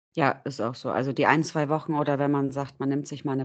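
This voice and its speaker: Speaking fairly quickly, a woman keeps a monotone, flat intonation at a very deep, low pitch. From northern Germany, near Bremen. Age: 30s. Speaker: dog owner. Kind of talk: testimony.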